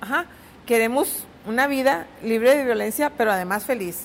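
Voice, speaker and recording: This woman's voice sits high in pitch. Her intonation is lively. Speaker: politician, head of a state women's institute. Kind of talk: interview. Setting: studio.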